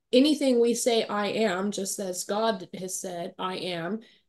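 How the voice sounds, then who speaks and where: A woman's unremarkable speaking voice, pitched in the middle range and varying in pitch by normal amounts. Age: 40s. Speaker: transformational coach. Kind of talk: casual chat.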